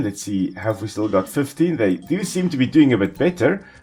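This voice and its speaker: In a South African accent, a man speaks at fairly high pitch. His pitch swings very widely. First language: Afrikaans. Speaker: ecologist gaming commentator. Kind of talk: gameplay commentary. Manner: casual, relaxed.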